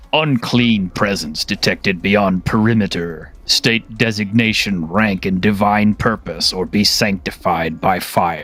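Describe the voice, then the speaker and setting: At a fairly slow pace, a man uses a robotic put-on character voice pitched fairly low. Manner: menacing, zealous.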